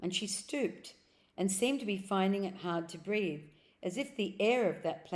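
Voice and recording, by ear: The pitch varies in an ordinary way as someone reads aloud in a natural voice.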